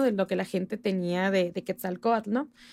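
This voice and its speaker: A woman is heard in a very clean recording against a silent background. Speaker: history enthusiast and folk dancer. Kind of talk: casual chat.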